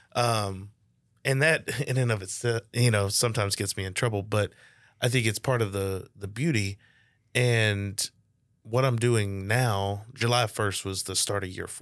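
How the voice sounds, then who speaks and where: At a moderate pace, a man with a Louisiana accent speaks at a fairly low pitch with fairly even intonation. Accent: Southern US (Louisiana). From northeast Louisiana (Monroe). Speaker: business coach, podcaster. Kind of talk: casual chat. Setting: studio.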